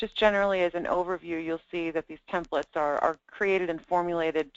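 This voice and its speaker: A woman talks fairly quickly in a very deep, low voice with fairly even intonation. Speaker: product trainer. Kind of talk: software demo tutorial.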